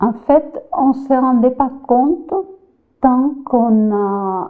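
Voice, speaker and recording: Pitch moves in an ordinary way here. The speaker talks with a Spanish accent. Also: woman. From Spain, Valencia region (Cullera). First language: Spanish (speaking French). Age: 70s. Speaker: immigrant grandmother interviewee. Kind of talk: interview testimony. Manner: halting, repeating words.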